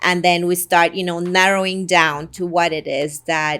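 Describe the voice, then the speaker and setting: A woman speaks at a fairly low pitch and fairly slow pace in a monotone, flat intonation, on a very clean recording with a silent background. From Guatemala. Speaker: real estate agent. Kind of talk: promotional talk to camera.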